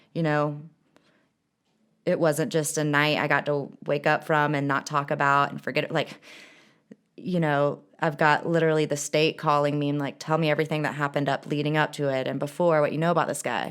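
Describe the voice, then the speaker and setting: Talking at a fairly quick pace, a woman with a very deep, low pitch keeps her intonation monotone and flat. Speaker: person in addiction recovery, behavioral health technician. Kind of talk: casual interview about recovery. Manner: loud; natural, unrehearsed.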